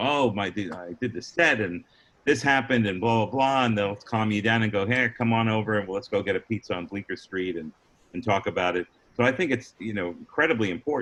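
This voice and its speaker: A man's medium-pitched, normal speaking voice at a fairly quick pace. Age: 60s. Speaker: stand-up comedian. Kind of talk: interview.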